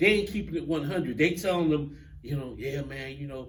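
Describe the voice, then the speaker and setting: In a room with audible echo, a man speaks in a fairly high pitch with vocal fry and ordinary pitch variation. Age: 60s. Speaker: talk show host. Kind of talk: casual chat.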